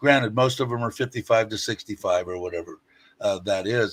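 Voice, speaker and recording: The recording is very clean with a silent background, and on it a man speaks with an American accent. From US West Coast, Los Angeles area. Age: 60s. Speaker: YouTuber, live streamer. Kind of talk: casual chat.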